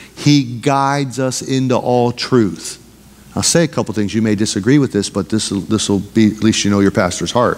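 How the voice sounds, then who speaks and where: Talking at a fairly quick pace, a man has an animated tone and ordinary pitch variation. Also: medium pitch for a man. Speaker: pastor. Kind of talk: sermon, Bible study teaching. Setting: church. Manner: animated, pulpit-style exhortation with rhetorical questions. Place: church.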